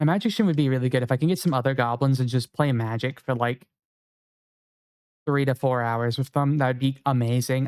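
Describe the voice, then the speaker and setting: At a fairly quick pace, a man with a medium pitch speaks in fairly even intonation, the sound dry and close with no echo. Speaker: video game streamer. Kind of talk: casual live stream chat. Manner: fast.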